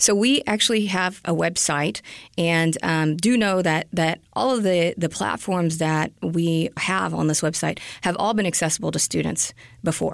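Using a normal speaking voice, a woman talks at a fairly low pitch and a moderate pace. Her loudness stays very even, her pitch varies in an ordinary way, and the recording is very clean with a silent background. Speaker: public relations director.

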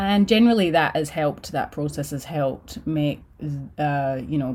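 At a moderate pace, a woman speaks with a very deep, low pitch and a dark, mellow tone in a very clean recording with a silent background. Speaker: podcast host. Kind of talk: podcast intro and solo monologue.

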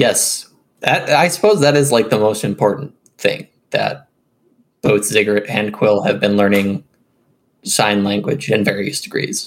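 At a fairly slow pace, a man talks in a fairly low voice with ordinary pitch variation and long, frequent pauses. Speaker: tabletop RPG player. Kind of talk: casual tabletop game chat.

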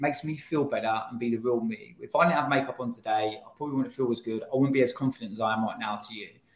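A man with a London accent speaks at a fairly quick pace, his medium pitch showing ordinary variation. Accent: British, London-area. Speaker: brand founder. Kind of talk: casual interview chat.

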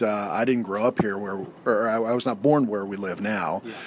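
A man's unremarkable speaking voice, fairly low in pitch, with ordinary pitch variation and a moderate pace. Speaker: family leader and friend of host. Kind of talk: casual chat. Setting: treehouse with heater running.

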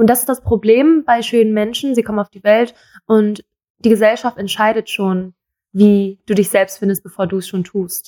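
A woman speaks at a moderate pace with a fairly high pitch, fairly even intonation and a dark, mellow tone. Her loudness swings a lot, and the sound is dry and close with no echo. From Germany, Thai-born. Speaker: model. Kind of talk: interview.

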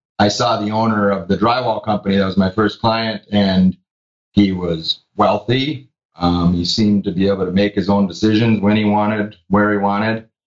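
With fairly even intonation and a fairly low pitch, a man talks at a moderate pace in a normal speaking voice. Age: 40s. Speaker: business owner who sold his company. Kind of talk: interview.

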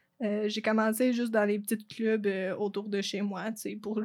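This woman's pitch sits in the middle of her range, with a flat, monotone delivery. She speaks at a very slow pace. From Quebec, Eastern Townships (Lac-Brome). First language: English (speaking French). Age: 20s. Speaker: university tennis player. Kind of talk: interview.

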